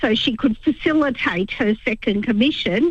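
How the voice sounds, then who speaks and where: Fairly slow, lively speech with an Australian accent. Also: woman. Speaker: caller. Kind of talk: phone-in call to talkback radio. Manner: hesitant, many ums.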